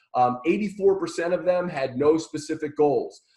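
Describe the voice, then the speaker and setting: A man's fairly high-pitched voice with a dark, mellow tone. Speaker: marketing trainer. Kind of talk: webinar presentation. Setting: live online webinar. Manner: fast; halting, many fillers and repeats.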